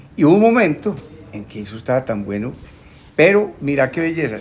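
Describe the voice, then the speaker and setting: A man at a fairly quick pace, pitch swinging very widely, with noticeable background noise. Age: 70s. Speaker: bookseller. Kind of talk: casual chat. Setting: bookshop.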